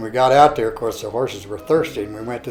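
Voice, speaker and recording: A man's medium-pitched voice with fairly even intonation, music in the background. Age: 70s. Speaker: cowboy. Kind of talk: interview answer.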